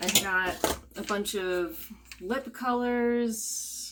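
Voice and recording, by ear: At a very slow pace, a woman speaks with a fairly bright tone, medium pitch and ordinary pitch variation.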